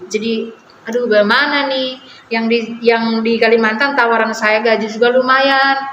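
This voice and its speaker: Against noticeable background noise and audible room echo, a woman speaks at a moderate pace in a fairly high voice with monotone, flat intonation. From Manggarai, Flores, Indonesia. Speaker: friend of the host, trained nurse. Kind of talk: casual chat.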